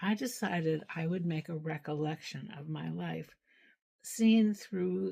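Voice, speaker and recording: A woman with a very deep, low pitch and a dark, mellow tone sounds somewhat breathy, her intonation lively. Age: 80s+. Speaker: social worker. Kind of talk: personal recollection monologue. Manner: halting, with repetitions.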